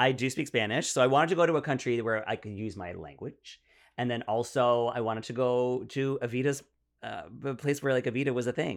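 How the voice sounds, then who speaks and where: In a Canadian accent, a man with a normal speaking voice talks at a fairly quick pace and medium pitch with ordinary pitch variation, on a very clean recording with a silent background. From Ottawa, Canada. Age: 40s. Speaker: comedian. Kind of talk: casual chat.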